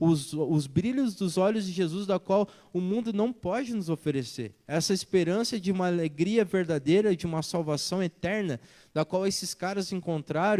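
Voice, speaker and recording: A man's voice has a high pitch and a dark, mellow tone at a moderate pace. The recording is very clean, the background silent. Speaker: pastor. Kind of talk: sermon.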